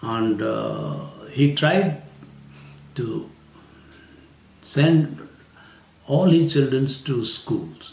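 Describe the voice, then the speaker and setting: Very slow speech with long, frequent pauses, ordinary pitch variation and audible room echo. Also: man, fairly high pitch for a man. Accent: Haryana. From India, rural Haryana. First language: Hindi/Haryanvi. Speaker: retired civil servant. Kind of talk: interview. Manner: hesitant, many fillers.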